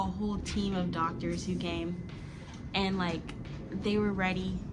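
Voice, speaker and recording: Noticeable background noise is present. The speaker is a woman with an American accent. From Florida, USA. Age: 20s. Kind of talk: casual storytime talk to camera.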